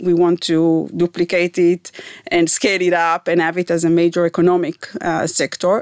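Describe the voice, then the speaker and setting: A woman with an Israeli accent speaks at a fairly low pitch. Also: dry, close sound with no echo. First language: Hebrew. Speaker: environmental scientist, professor. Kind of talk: interview. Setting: studio.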